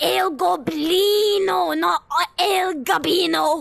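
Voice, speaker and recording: Using a put-on character voice, a man speaks very slowly at an extremely high pitch. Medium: machinima. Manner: exasperated, blunt.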